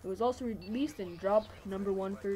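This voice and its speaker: A somewhat breathy female voice of medium pitch, dark and mellow in tone, fairly quick, with ordinary pitch variation. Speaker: gaming commentator. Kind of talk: gameplay commentary. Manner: fast; casual.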